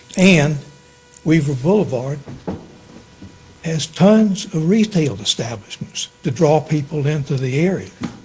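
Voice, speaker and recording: Speech with lively intonation comes at a fairly slow pace, broken by long, frequent pauses, with music in the background. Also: man, fairly high pitch for a man. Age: 80s+. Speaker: alcohol board member. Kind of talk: public meeting testimony. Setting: town council meeting. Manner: halting, many fillers.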